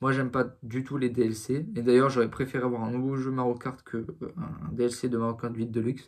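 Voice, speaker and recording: Hardly pausing at all, a man speaks at a fairly quick pace with a medium pitch and fairly even intonation. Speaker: gaming youtuber. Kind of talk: casual video commentary. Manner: halting, many fillers.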